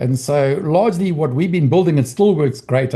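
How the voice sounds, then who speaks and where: Somewhat breathy and dark, mellow in tone, a man talks at a moderate pace with ordinary pitch variation. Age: 60s. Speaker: trading educator. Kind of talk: training session. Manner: halting.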